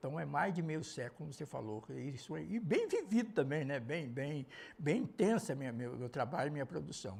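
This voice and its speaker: Talking at a fairly quick pace, a man with a fairly high pitch shows vocal fry and very wide pitch swings. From Minas Gerais, Brazil (Uberlândia). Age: 70s. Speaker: visual artist, painter. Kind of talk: interview. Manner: halting, many repetitions.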